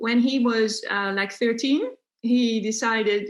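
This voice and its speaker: A woman with a Dutch accent talks at a fairly slow pace, her fairly high pitch held in fairly even intonation. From Netherlands. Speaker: unschooling parent and homeschooling activist. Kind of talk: podcast interview. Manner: hesitant, many fillers.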